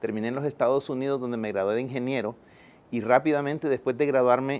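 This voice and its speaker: This man's intonation is fairly even. He keeps a fairly quick pace. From El Salvador. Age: 50s. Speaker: environmental engineer and poet. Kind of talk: TV interview. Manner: hesitant, many fillers.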